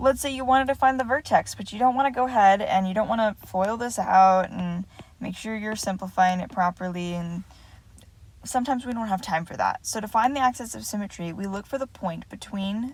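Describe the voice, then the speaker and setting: A fairly high-pitched, somewhat breathy woman at a fairly quick pace, with ordinary pitch variation and big swings in loudness. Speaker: math teacher. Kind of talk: lecture. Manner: fast.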